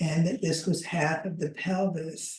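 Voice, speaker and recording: A woman's somewhat breathy, dark, mellow voice at a fairly low pitch and a very slow pace. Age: 80s+. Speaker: movement educator. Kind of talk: online class lecture.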